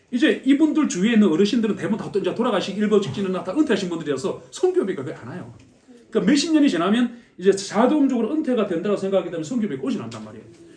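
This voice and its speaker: A man with a high pitch talks at a very fast pace, with very wide pitch swings and big swings in loudness over noticeable background noise. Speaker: missionary. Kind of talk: mission report talk at church.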